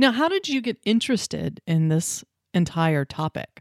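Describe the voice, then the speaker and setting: A woman with a plain, everyday voice speaks at a fairly slow pace, her fairly low pitch carried by lively intonation. The sound is dry and close with no echo, on a very clean recording with a silent background. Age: 40s. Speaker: podcast host. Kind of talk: interview conversation.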